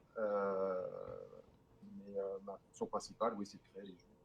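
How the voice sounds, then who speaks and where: A man talks at a fairly slow pace. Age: 40s. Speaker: e-liquid flavourist. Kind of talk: interview. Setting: online call via Discord.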